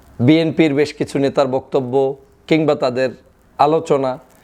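With an ordinary speaking voice, a man speaks at a fairly high pitch over a quiet background. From Bangladesh. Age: 30s. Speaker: political commentator. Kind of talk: political commentary monologue.

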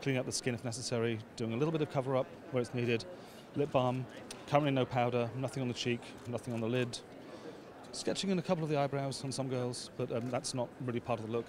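A man at a very fast pace, with fairly even intonation, a dry sound with no echo and noticeable background noise. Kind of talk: interview answer. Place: hall. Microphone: handheld.

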